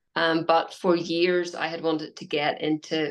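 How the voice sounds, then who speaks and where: A woman speaks in a Northern Irish accent at a fairly low pitch. Her intonation is monotone and flat. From Northern Ireland. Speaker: health coach. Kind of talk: interview.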